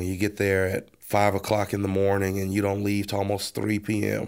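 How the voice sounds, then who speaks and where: At a moderate pace, a man with an American accent speaks at a fairly low pitch on a very clean recording with a silent background. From Texas, Baytown area. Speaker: co-pastor. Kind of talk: casual chat.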